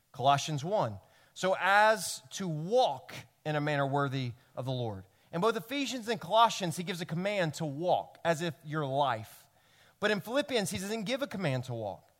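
This man talks at a moderate pace in a Tennessee accent, his pitch high and swinging very widely. The recording is very clean, with a silent background. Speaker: pastor. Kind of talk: sermon. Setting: church.

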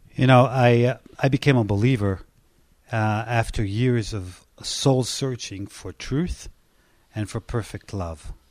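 A man's medium-pitched voice with an Israeli accent, at a fairly slow pace, with ordinary pitch variation and big swings in loudness, on a very clean recording with a silent background. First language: Hebrew. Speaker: pastor. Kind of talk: personal testimony in interview.

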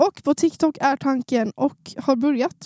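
In a Norrland accent, a woman speaks very slowly with a high pitch, ordinary pitch variation and a dark, mellow tone. The sound is dry and close, with no echo. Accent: faint Norrland dialect. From Sundsvall, Norrland, northern Sweden. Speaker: new podcast co-host. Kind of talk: casual chat.

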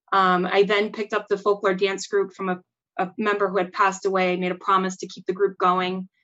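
With an American accent, a woman speaks fairly quickly at medium pitch. Her tone is bright and sharp, her intonation monotone and flat. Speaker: cultural center president.

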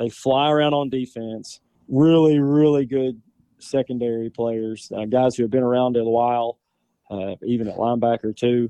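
A man speaks with a Southern US accent and fairly even intonation. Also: medium pitch for a man, moderate pace. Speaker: high school football player. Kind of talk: interview. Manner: halting.

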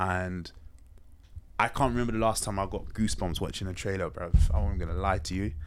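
The voice has ordinary pitch variation, and audible room echo surrounds it. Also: man, very deep, low pitch for a man, fairly quick pace. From London (Hackney). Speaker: podcast host. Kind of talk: casual chat.

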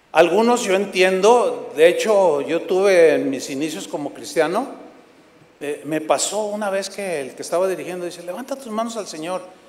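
A man with a high pitch speaks over noticeable background noise at a moderate pace, sounding animated, with ordinary pitch variation and big swings in loudness. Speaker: preacher. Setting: church with congregation.

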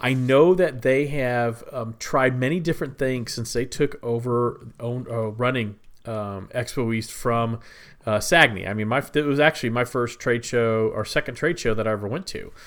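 An ordinary speaking voice from a man, medium in pitch with ordinary pitch variation, at a moderate pace on a very clean recording with a silent background. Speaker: podcast co-host. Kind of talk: casual chat.

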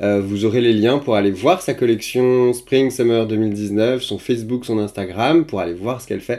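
At a moderate pace, a man with a medium pitch and a dark, mellow tone shows ordinary pitch variation and big swings in loudness. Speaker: podcast host. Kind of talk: casual interview chat.

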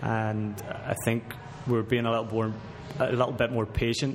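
With a Northern Irish accent, a man speaks at a medium pitch and fairly even intonation against noticeable background noise. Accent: Northern Irish (Belfast). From Belfast, Northern Ireland. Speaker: professional footballer. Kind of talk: casual chat. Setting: sports restaurant.

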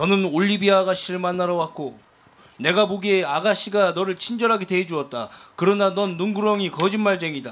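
A man talks at a fairly quick pace. His pitch is high, with ordinary pitch variation. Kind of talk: dramatic play reading. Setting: stage with live audience.

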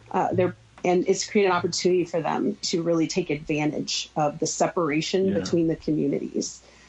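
A woman speaks at a fairly low pitch with ordinary pitch variation. Hers is an unremarkable speaking voice. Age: 40s. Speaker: gun violence prevention advocate. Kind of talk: radio interview.

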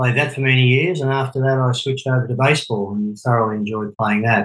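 With fairly even intonation, a man talks at a medium pitch.

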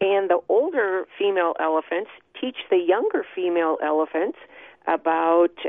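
At a moderate pace, a woman with an American accent uses a normal speaking voice, medium in pitch and with ordinary pitch variation. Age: 60s. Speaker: author and social worker. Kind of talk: interview. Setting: phone call.

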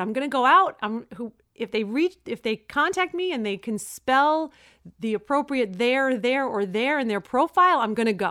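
In a Brooklyn accent, a woman speaks at a moderate pace with a high pitch, very wide pitch swings, and a bright, sharp tone on a very clean recording with a silent background. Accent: New York (Brooklyn). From Brooklyn, New York. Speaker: co-host, married couple's relationship podcast. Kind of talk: casual chat. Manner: animated, joking banter.

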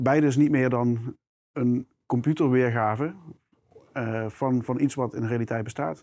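Pausing long and often, a man speaks at a moderate pace with medium pitch and fairly even intonation. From South Limburg, Netherlands. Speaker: product manager. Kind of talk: interview conversation. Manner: hesitant with fillers.

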